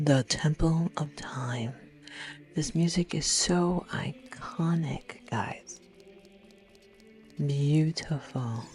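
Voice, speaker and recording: Soft-spoken delivery at a very slow pace, with long, frequent pauses and music in the background. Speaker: gamer. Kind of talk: gameplay commentary. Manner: calm.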